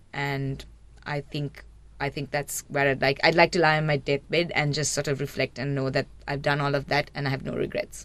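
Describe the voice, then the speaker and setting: In a Sri Lankan accent, a woman speaks with a very deep, low pitch and monotone, flat intonation. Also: moderate pace. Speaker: marine biologist. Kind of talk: radio interview.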